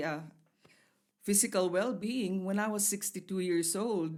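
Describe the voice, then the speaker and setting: A woman's medium-pitched voice, an ordinary speaking voice, with ordinary pitch variation and a fairly slow pace. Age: 60s. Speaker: health talk show co-host. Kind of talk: casual chat.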